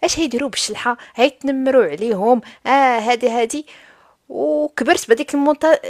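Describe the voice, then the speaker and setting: A woman's high pitch and lively intonation against a quiet background. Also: moderate pace. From Morocco, Souss; Morocco. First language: Tashelhit (Amazigh) (speaking Arabic). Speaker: live stream host. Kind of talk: casual discussion. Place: home room. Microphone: studio mic.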